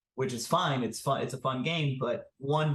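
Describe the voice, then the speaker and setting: A somewhat breathy man with a fairly high pitch. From Honduras. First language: Spanish. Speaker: startup founder. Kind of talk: interview.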